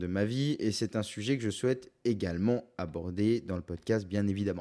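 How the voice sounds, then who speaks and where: A man with a dark, mellow tone speaks at a fairly low pitch with lively intonation. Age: 20s. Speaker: podcast host, photographer. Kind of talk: solo podcast introduction, casual. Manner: energetic.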